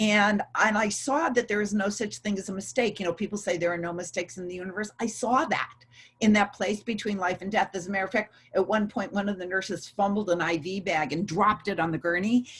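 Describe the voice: The delivery comes at a fairly quick pace, fairly bright in tone with a slightly husky edge and fairly even intonation. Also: woman, medium pitch for a woman.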